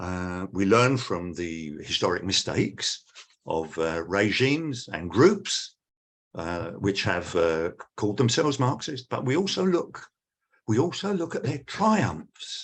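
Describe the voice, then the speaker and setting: Speaking fairly slowly with a British accent, a man uses a fairly low voice that makes very wide pitch swings. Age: 70s. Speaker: academic speaker. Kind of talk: lecture.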